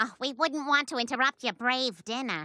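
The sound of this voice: A cartoonish character voice that sounds female, pitched high. She speaks at a moderate pace.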